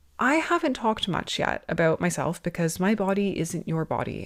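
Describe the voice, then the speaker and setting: A woman speaks in an unremarkable speaking voice with a Canadian accent. Her pitch is fairly low with ordinary variation, and her pace is fairly quick. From Canada. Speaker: podcast host, osteopath. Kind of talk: podcast monologue. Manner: conversational.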